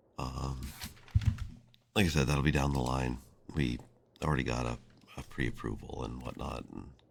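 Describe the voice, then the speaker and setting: This man's voice is very deep and low, with vocal fry and fairly even intonation. He keeps a moderate pace but leaves long, frequent pauses. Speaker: game streamer. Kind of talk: live gameplay stream. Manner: halting.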